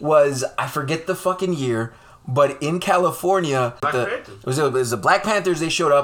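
This is an ordinary speaking voice with lively intonation. The pace is moderate. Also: man, fairly high pitch for a man. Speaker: podcast co-host. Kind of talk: heated debate. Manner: angry, ranting, profane.

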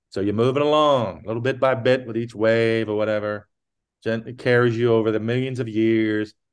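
Fairly quick in pace, a man speaks at a medium pitch in a normal speaking voice. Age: 50s. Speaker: podcast co-host. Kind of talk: casual chat.

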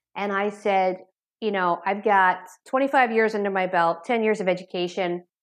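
A plain, everyday voice speaks at a moderate pace with fairly even intonation over a quiet background. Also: woman. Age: 40s. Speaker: addiction therapist. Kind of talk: interview. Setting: remote call.

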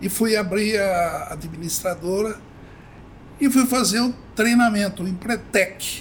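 The man's pitch is high with ordinary pitch variation, and he talks at a fairly slow speed, pausing long and often. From Brazil, Avaré (São Paulo state interior). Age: 70s. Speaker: company founder. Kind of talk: interview.

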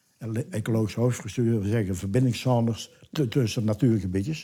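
This man's voice is dark and mellow, fairly low in pitch and somewhat breathy, with ordinary pitch variation. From Tilburg, Netherlands. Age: 70s. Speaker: retired neighbour, collector. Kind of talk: casual interview at home. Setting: living room at home. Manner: animated storyteller.

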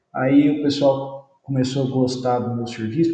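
Audible echo in the room around a man, his pitch in the medium range. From Brazil, interior of São Paulo state. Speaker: environmental engineer, company founder. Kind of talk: casual interview.

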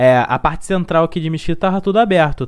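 This is a man speaking. His intonation is lively. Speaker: podcast host. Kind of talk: casual chat. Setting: live-streamed video podcast. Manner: changes voice for podcasting.

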